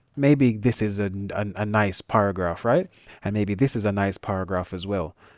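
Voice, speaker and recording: A man's fairly low voice with a Jamaican accent, on a very clean recording with a silent background. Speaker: engineering teacher. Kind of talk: tutorial. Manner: fast; casual.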